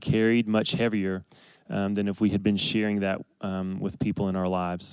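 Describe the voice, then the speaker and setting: A fairly low-pitched man at a fairly quick pace, flat and monotone in intonation, against a quiet background. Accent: Southern US. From US South, Athens, Georgia. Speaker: church member sharing testimony. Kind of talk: testimony. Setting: stage with audience.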